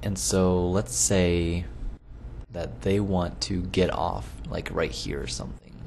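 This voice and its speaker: The voice swings very widely in pitch and moves at a very slow pace. Noticeable background noise runs underneath. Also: man, very deep, low pitch for a man. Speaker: gaming video creator. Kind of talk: casual gameplay commentary. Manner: loopy, low-energy.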